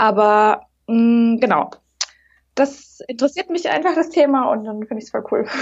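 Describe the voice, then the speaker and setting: The intonation is lively. The pace is moderate. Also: woman, fairly high pitch for a woman. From Munich, Bavaria. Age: 30s. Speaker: aspiring café founder. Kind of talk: casual interview. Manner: hesitant, many fillers.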